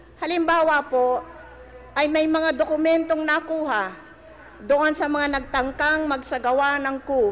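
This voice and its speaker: Speech at a fairly slow pace over noticeable background noise. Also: woman, high pitch for a woman, ordinary pitch variation. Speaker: president giving a public speech. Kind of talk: political rally speech.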